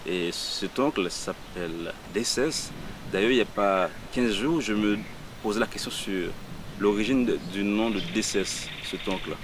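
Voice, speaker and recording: A man at a very slow pace, with long, frequent pauses and noticeable background noise. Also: fairly low pitch for a man, ordinary pitch variation. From Haiti, Port-au-Prince. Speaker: poet. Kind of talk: interview. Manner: halting.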